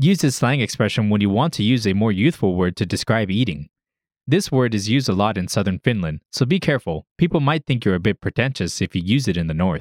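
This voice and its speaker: A man speaks in a plain, everyday voice, fairly low in pitch, with lively intonation. The sound is dry and close with no echo, on a very clean recording with a silent background. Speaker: language lesson host. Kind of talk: tutorial. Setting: studio. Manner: formal.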